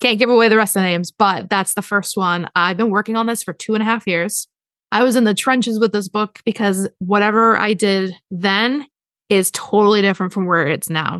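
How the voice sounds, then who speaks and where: In an American accent, a woman talks fairly quickly in a plain, everyday voice at a medium pitch with fairly even intonation, the sound dry and close with no echo against a quiet background. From Massachusetts, near Boston. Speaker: author. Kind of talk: interview.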